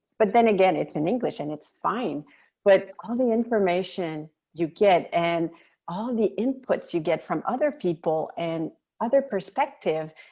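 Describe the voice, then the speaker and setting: A woman with a French Canadian accent speaks at a medium pitch and a moderate pace. Her tone is dark and mellow, and her intonation is lively. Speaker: military spouse, volunteer. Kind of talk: podcast interview.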